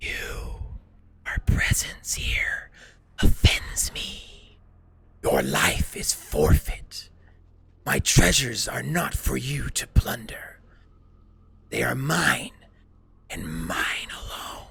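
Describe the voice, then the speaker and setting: Raspy and in a put-on character voice, the speaker moves at a very slow pace with long, frequent pauses. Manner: menacing, accusatory.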